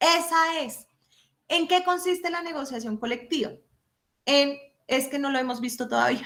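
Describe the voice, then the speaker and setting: A high-pitched woman at a fairly slow pace, animated in tone, with ordinary pitch variation and long, frequent pauses. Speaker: law professor. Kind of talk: lecture.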